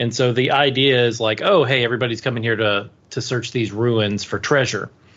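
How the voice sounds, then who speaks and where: His pace is moderate and his pitch sits at a medium level. This man talks in a normal speaking voice. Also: quiet background. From US, DC area. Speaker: podcast co-host. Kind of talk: casual chat.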